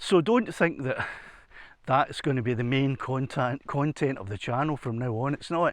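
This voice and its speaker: Someone speaks at a moderate pace in a Scottish accent, with a quiet background. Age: 60s. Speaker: retired musician, hiking vlogger. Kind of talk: casual vlog narration. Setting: outdoors. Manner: halting, many repetitions.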